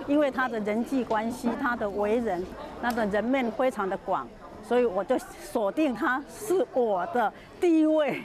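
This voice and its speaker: A woman speaks at a fairly slow pace in a high pitch with lively intonation while a crowd is heard behind her. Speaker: charity volunteer. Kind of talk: interview answer. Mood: warm, reminiscing. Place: street.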